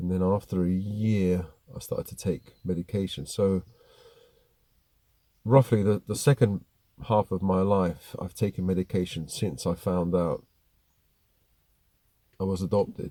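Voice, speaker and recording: In a very clean, silent recording with a dry, close sound and no echo, a man with a very deep, low voice and a dark, mellow tone speaks fairly slowly, with long, frequent pauses and a fairly even intonation. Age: 50s. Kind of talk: personal talk to camera. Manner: hesitant, reflective.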